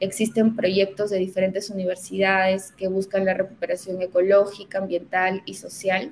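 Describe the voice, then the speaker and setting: A woman speaks in a flat monotone at medium pitch and a moderate pace. She hardly pauses, and there is light background noise. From Peru, Huancayo (central highlands); Peru. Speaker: environmental consultant; guest. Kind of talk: webinar presentation. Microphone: webcam.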